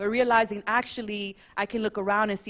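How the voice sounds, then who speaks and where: A woman with an American accent, medium pitch, fairly even intonation, and a moderate pace. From US, Dominican American family. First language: Spanish. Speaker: panelist. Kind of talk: panel discussion.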